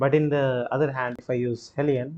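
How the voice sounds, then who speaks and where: Speaking at a fairly slow pace, a man with an Indian accent has a medium pitch and a dark, mellow tone. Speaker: gaming streamer. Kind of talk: live gameplay commentary. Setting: live stream. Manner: animated.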